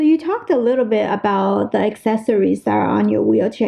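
There is noticeable background noise behind this voice. A woman talks at a fairly quick pace. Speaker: podcast host. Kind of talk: casual interview.

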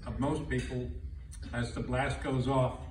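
A man speaks at a very slow pace with audible room echo and light background noise. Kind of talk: speech. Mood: solemn, reflective. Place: hall. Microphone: camera far.

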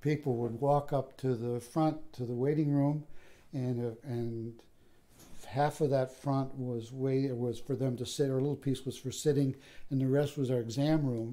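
With an American accent and a dark, mellow tone, a man speaks at medium pitch and a moderate pace in a monotone, flat delivery. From Michigan (Flint area). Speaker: retired veterinary professor. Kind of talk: oral history interview. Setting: at his home. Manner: halting, many fillers.

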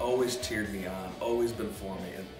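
Clear music plays in the background. Over it, a man speaks at a fairly quick pace with fairly even intonation. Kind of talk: testimonial to camera. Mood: warm, heartfelt. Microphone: phone near.

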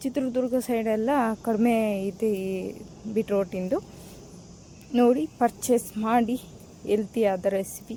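This woman's pitch is fairly high. It rises and falls in an ordinary way. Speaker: home vlogger. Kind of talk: cooking vlog narration. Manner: casual, halting.

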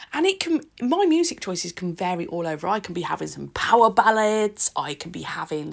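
A woman with a British accent at a moderate pace against a quiet background. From UK. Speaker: nail art content creator. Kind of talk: tutorial voiceover. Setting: home recording. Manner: chatty. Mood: relaxed and cheerful.

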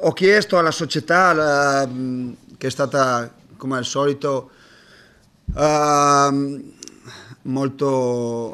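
A man talks at a very slow pace with ordinary pitch variation. Long, frequent pauses break up his speech. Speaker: basketball coach. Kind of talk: press conference monologue. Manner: hesitant, halting. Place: hall. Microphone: podium.

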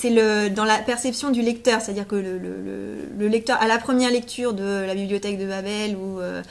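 At a fairly quick pace, a woman with a medium pitch talks with vocal fry and fairly even intonation.

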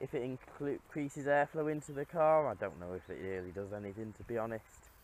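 The speaker is a man talking at a moderate pace. His recording sounds dry, with no echo. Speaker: car owner vlogger. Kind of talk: casual vlog chat. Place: open country. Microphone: phone near.

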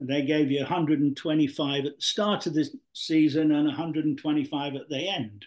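A man speaks with fairly even intonation at a fairly high pitch. The background is quiet. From South Yorkshire (Mexborough); South Yorkshire. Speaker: retired professional footballer; guest. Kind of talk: interview. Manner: hesitant, repetitive. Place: home room. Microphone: video call.

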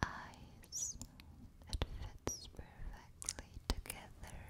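Soft-spoken whispering unfolds at a very slow pace. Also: woman. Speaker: ASMR creator. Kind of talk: soft-spoken ASMR affirmations. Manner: soft close-mic whisper, tender. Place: studio. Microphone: studio mic.

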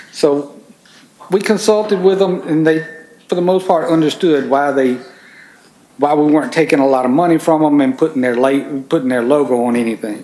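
Talking at a fairly quick pace, a man has a Mississippi accent and a fairly high pitch. He leaves long, frequent pauses. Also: ordinary pitch variation. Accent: Southern US (Mississippi). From Mississippi, US South. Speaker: farm organization environmental coordinator; conference presenter. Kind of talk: conference presentation. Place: meeting room. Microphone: camera far.

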